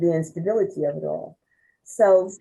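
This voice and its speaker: A woman's medium-pitched voice with an American accent, a dark, mellow tone and lively intonation. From New York, Westchester County. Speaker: former activist. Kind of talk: oral history interview.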